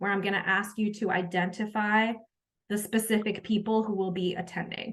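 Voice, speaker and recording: A woman's somewhat breathy medium-pitched voice with ordinary pitch variation. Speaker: education coach and workshop facilitator. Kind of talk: online training session wrap-up. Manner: fast.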